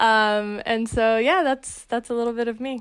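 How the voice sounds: Her pitch is fairly high and her tone clear and smooth. The woman keeps a moderate pace with fairly even intonation.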